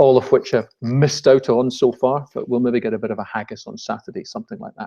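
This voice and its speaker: Speaking at a very fast pace with a Scottish accent, a man with a dark, mellow tone and medium pitch uses lively intonation and big swings in loudness. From Scotland. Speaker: business webinar presenter. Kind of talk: webinar presentation. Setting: live online webinar.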